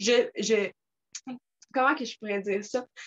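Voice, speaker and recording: This woman has a Quebec accent and a fairly high pitch with ordinary pitch variation. The sound is dry and close, with no echo. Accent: Québécois French. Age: 20s. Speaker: network marketing distributor. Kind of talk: casual talk on video call. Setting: video call. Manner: animated.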